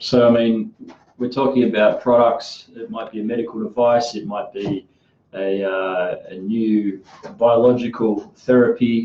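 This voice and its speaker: Speaking fairly slowly with an Australian accent, a man shows big swings in loudness. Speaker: podcast host, clinical trials worker. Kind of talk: casual podcast chat.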